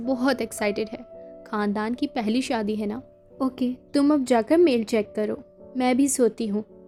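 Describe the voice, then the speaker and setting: With music in the background, a soft-spoken voice talks in a calm, soothing tone with ordinary pitch variation. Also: woman. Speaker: audiobook narrator. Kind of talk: audiobook novel reading. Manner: soft, calm, soothing.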